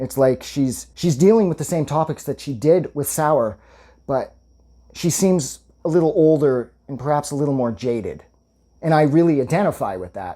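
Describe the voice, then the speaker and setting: The recording is very clean, with a silent background. Speech moves at a moderate pace. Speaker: music reviewer. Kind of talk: album review monologue. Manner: enthusiastic, casual with fillers.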